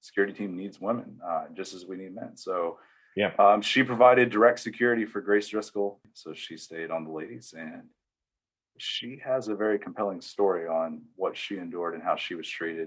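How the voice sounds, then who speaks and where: A man with an American accent and an ordinary speaking voice talks fairly quickly at a fairly low pitch with ordinary pitch variation and big swings in loudness. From US South, East Tennessee. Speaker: church security volunteer, retired Marine. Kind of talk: interview conversation. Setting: video call.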